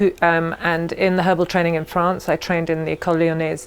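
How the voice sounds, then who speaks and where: Words come at a very fast pace in an English accent, the intonation flat and monotone. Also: woman. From England. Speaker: herbalist and aromatherapy teacher. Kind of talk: interview.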